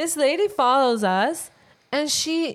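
Very slowly, a woman speaks with a strong non-native accent. The recording is very clean, with a silent background. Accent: thick non-native English. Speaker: podcast co-host, English teacher. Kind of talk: casual chat. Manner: laughs often, lively.

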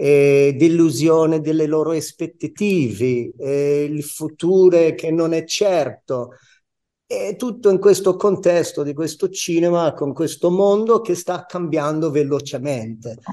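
A very slow-speaking man with a dark, mellow tone, a fairly high pitch, and ordinary pitch variation. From New York, US. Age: 60s. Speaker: stage actor. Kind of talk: radio interview.

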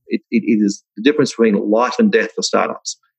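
Speaking with an Australian accent, a man moves at a fairly quick pace. The sound is dry and close, with no echo. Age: 60s. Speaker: software company founder. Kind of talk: interview.

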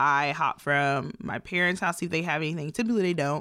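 Her pitch very deep and low, a woman talks at a fairly quick pace with a bright, sharp tone and ordinary pitch variation. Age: 20s. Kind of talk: casual chat. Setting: studio.

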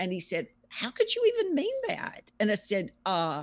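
A woman speaks with a Southern US accent on a very clean recording with a silent background. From US South, Louisiana. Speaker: author and researcher. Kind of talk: interview.

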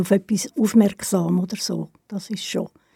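Breath comes through the voice somewhat. The tone sounds dark and mellow. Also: woman. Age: 70s. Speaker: retired cultural organizer. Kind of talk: interview.

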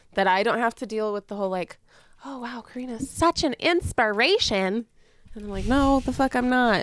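A woman at a moderate pace with ordinary pitch variation and big swings in loudness, in a dry, close sound with no echo. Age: 20s. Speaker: podcast co-host with chronic illness. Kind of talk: casual chat.

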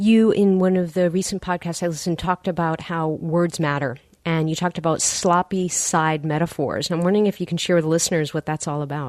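A woman with an unremarkable speaking voice talks at a fairly quick pace in a fairly low pitch, with fairly even intonation and hardly any pauses. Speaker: physician and podcast host. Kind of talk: interview conversation.

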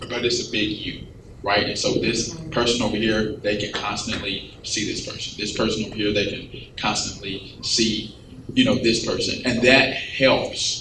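Through noticeable background noise, a man can be heard speaking at a fairly slow pace. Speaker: pastor. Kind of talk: panel discussion. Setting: stage with audience.

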